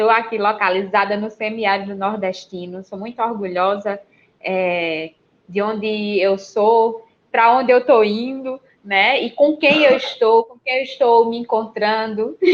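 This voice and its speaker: A woman speaks at a fairly slow pace with a fairly high pitch, ordinary pitch variation and big swings in loudness. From Pernambuco, Brazilian Northeast (Serra Talhada). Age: 30s. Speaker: podcaster, runner. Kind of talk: podcast interview. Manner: talkative.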